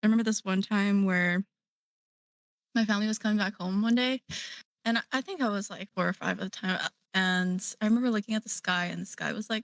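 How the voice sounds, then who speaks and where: Very fast speech comes from a woman at medium pitch, her intonation fairly even but broken by long, frequent pauses. The sound is dry and close with no echo, on a very clean recording with a silent background. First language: Korean. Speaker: digital artist. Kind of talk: casual chat.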